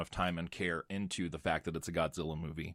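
A man with a very deep, low voice speaks fairly quickly and fairly evenly on a very clean recording with a silent background. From United States. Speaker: horror podcast host. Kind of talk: casual chat.

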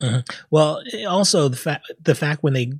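A man speaks at a moderate pace in a fairly high, somewhat breathy voice. The recording is very clean with a silent background, the sound dry and close with no echo. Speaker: podcast host. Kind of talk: casual chat. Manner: animated.

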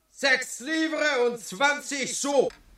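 A man puts on a character voice with an extremely high pitch, a bright, sharp tone and ordinary pitch variation, speaking at a very slow pace.

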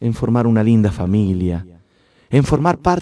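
A natural reading voice. The intonation is lively.

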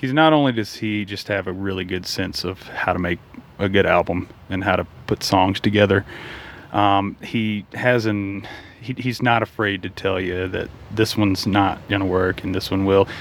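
A man speaks in a fairly low pitch at a moderate pace. There is noticeable background noise. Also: fairly even intonation. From Mississippi. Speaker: singer-songwriter. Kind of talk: casual interview. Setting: in an RV.

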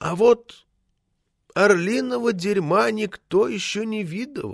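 A man puts on a character voice, high in pitch with vocal fry and ordinary variation. He goes at a slow pace in a very clean recording with a silent background.

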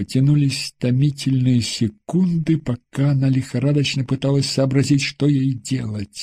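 Against a quiet background, someone is reading aloud in a natural voice with fairly even intonation.

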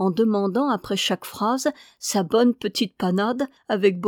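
This is a reading aloud in a natural voice, with ordinary pitch variation.

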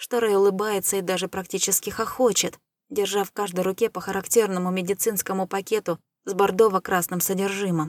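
Reading aloud in a natural voice, with fairly even intonation against a quiet background.

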